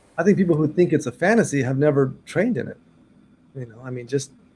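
At a very fast pace, a man talks with lively intonation, a fairly high pitch, a somewhat breathy quality and a dark, mellow tone. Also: long, frequent pauses, big swings in loudness. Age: 50s. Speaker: martial arts teacher. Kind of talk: interview.

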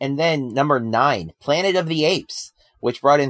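With an American accent, a man uses a normal speaking voice at a fairly high pitch, lively intonation and a moderate pace, recorded dry and close with no echo. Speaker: podcast host. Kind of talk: casual chat.

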